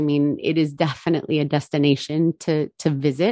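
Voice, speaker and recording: A woman with a New Jersey accent speaks at a moderate pace in a very deep, low pitch. The sound is dry and close with no echo, over a quiet background. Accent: New Jersey American English. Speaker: bourbon brand ambassador. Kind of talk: casual interview.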